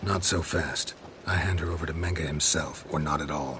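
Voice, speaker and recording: A put-on character voice speaks at a moderate pace over clear background noise. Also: man, very deep, low pitch for a man. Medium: machinima. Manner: terse, deadpan.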